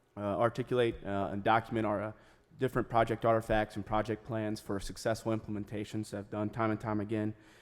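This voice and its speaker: With an American accent, a man rattles along at a very fast pace in a fairly low pitch and a monotone, flat intonation. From Frederick County, Maryland. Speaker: congressional candidate. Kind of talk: political debate. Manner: halting, many fillers.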